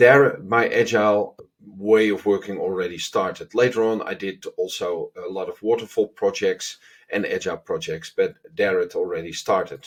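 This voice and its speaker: With a Dutch accent, a man speaks at a moderate pace. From Netherlands. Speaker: agile consultant. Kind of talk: self-introduction to camera.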